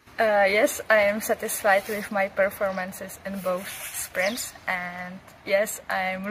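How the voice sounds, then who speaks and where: A woman speaks in a monotone with flat intonation over noticeable background noise. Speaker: junior orienteering champion. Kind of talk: interview.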